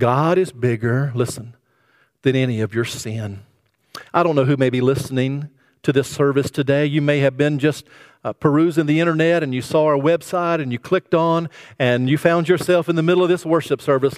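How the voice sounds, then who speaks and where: A man talks at a fairly quick pace, his fairly high voice showing ordinary pitch variation. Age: 50s. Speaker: pastor. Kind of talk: sermon. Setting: church service streamed online. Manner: frequent filler words, halting.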